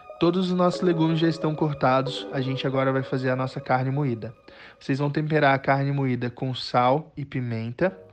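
Noticeable background noise sits behind a man's fairly high voice. He keeps a moderate pace with ordinary pitch variation. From Brazil, Acre (Rio Branco). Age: 20s. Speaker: chef. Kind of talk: cooking tutorial.

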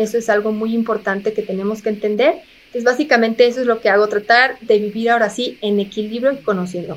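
Delivered very fast, the speech holds a fairly even intonation. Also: woman, fairly high pitch for a woman. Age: 30s. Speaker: physician and health communicator. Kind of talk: interview.

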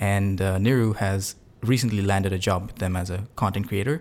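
At a fairly quick pace, a man talks with fairly low pitch in a normal speaking voice. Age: 20s. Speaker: podcast host. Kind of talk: casual chat.

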